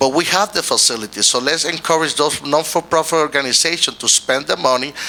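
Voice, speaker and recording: Amid noticeable background noise, a man with a Puerto Rican accent speaks at a moderate pace with ordinary pitch variation. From Puerto Rico. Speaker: mayoral candidate, pastor and community leader. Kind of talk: political forum interview. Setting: stage with audience. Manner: halting, with self-corrections.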